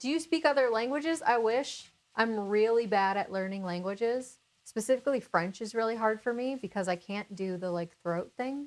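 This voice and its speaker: In a normal speaking voice, a woman with an American accent talks at a moderate pace with lively intonation. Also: fairly high pitch for a woman. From Minnesota. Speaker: cooking channel host. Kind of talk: casual chat.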